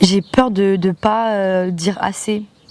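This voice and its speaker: A woman speaks at a medium pitch with monotone, flat intonation. There is noticeable background noise. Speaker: vlogger, student back from exchange. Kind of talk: casual vlog monologue. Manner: poorly articulated.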